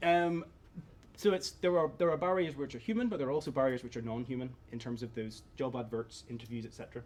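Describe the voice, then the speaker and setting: With a Northern Irish accent, the speaker talks at a very fast pace with ordinary pitch variation. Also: man. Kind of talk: conference presentation.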